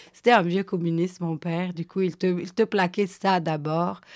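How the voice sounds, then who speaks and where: At a moderate pace, a woman with a fairly low pitch talks in a monotone, flat intonation on a very clean recording with a silent background. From Switzerland, Guinean family. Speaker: storyteller. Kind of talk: casual chat.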